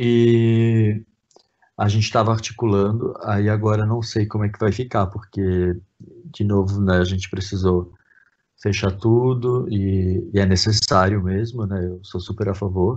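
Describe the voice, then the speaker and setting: Speaking at a fairly slow pace, a man with a normal speaking voice keeps a fairly low pitch and fairly even intonation. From southern Brazil, Santa Catarina (Brusque). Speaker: photographer and actor. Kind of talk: casual interview. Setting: remote web radio call.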